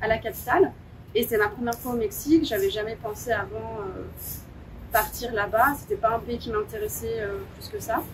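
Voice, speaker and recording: A woman speaks at a moderate pace with long, frequent pauses. Her loudness swings widely. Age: 30s. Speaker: dance and yoga teacher. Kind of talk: interview. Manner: hesitant.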